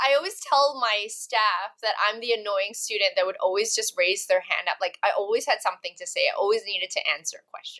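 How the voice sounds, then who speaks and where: A woman's fairly high, bright, sharp voice at a fairly quick pace with hardly any pauses, ordinary pitch variation and big swings in loudness. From Malaysia and Canada. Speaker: actress and talent agency founder. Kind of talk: casual interview chat.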